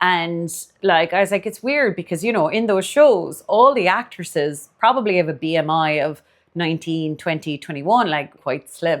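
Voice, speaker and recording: Lively intonation marks this voice with a Cork accent, heard in a very clean recording with a silent background. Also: woman, fairly low pitch for a woman, moderate pace. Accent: Irish (Cork). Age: 40s. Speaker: dietitian and podcast host. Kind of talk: casual podcast monologue.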